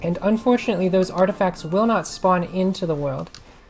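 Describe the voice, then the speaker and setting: A woman's voice moves at a moderate pace with ordinary pitch variation while music plays behind her. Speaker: maid-persona ASMR and gaming content creator. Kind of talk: casual gaming guide talk. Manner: hesitant, rambling, with filler words.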